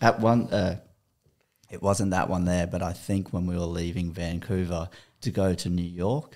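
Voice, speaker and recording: A man with an Australian accent, very deep and low-pitched, at a moderate pace. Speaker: podcast guest. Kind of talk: casual chat. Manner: animated.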